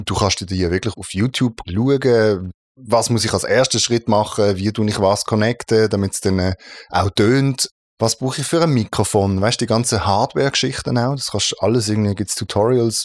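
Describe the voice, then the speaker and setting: In a dry, close recording with no echo, a man speaks at a fairly low pitch with ordinary pitch variation. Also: moderate pace, very clean recording, silent background. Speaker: voice-over artist and audio producer. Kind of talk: casual interview chat.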